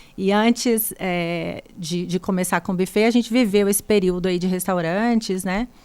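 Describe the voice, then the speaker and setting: Using a Minas Gerais accent, a woman speaks at medium pitch and a moderate pace, with fairly even intonation and hardly any pauses. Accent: mineiro. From Brazil, Minas Gerais (Três Pontas). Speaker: buffet founder and chef. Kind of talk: podcast interview.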